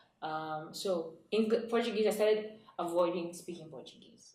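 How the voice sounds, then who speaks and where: Audible room echo hangs around a woman's voice. Her intonation stays fairly even. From Nigeria. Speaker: author and entrepreneur. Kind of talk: interview. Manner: fast.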